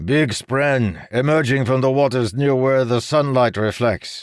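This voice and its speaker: Using a put-on character voice, a man talks at a medium pitch and moderate pace, his loudness very even. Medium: read story. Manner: playful, teasing.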